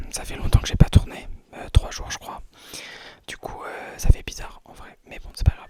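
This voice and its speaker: Whispering in a relaxed tone, a man leaves long, frequent pauses, his loudness swinging widely over noticeable background noise. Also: moderate pace. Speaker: ASMR creator. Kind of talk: casual talk to camera. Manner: relaxed, rambling, whispered.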